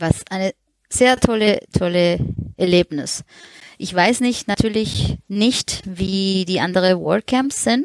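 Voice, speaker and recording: In a Spanish accent, a woman speaks at a medium pitch and a very slow pace, the sound dry and close with no echo. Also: ordinary pitch variation. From Colombia. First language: Spanish (speaking German). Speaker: freelance web designer. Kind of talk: casual chat.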